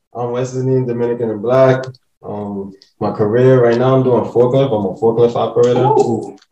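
In an American accent, a man with a medium pitch and a dark, mellow tone speaks at a moderate pace with monotone, flat intonation. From New York, the Bronx. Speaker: forklift operator. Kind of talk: casual chat. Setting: at home.

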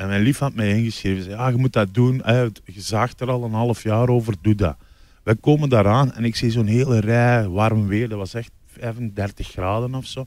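In a very clean recording with a silent background, a man with a medium pitch and an ordinary speaking voice speaks at a moderate pace with fairly even intonation. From Belgium, Limburg. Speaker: comedian. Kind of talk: casual chat.

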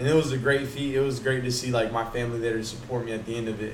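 A somewhat breathy voice speaks at a fairly quick pace, with audible room echo. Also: man. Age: 20s. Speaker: podcast host and military aviation technician. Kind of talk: casual chat. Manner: animated.

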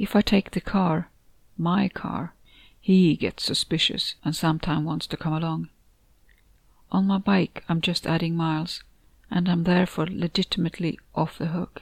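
A woman speaks at a fairly low pitch with flat, monotone intonation and a somewhat breathy quality. Her moderate pace is broken by long, frequent pauses, and the sound is dry and close with no echo. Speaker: author and narrator of the story. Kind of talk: horror short story narration, first-person reading aloud. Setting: home recording, noisy neighbor music in background.

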